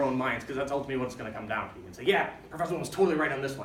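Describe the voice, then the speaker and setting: With noticeable background noise and audible room echo, a man speaks in an American accent. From US Midwest, Chicago. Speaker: lecturer, doctoral student. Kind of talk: lecture. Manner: fast; animated.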